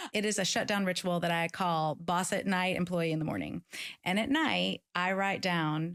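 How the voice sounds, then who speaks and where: In a very clean recording with a silent background, a woman with an American accent speaks at a fairly low pitch. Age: 50s. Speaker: author and keynote speaker. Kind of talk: interview. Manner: fast.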